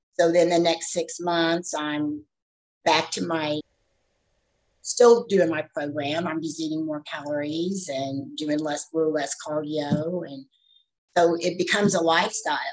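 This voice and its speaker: A woman with a normal speaking voice at a moderate pace, a fairly low pitch, ordinary pitch variation and big swings in loudness. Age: 60s. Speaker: fitness trainer and bodybuilder. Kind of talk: casual chat.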